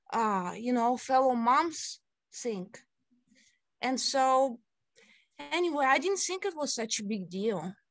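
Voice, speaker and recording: The speaker talks with a Russian accent at a very slow pace, leaving long, frequent pauses. Pitch swings are very wide over a quiet background. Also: woman, high pitch for a woman. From Siberia, Russia. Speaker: city council candidate. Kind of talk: interview.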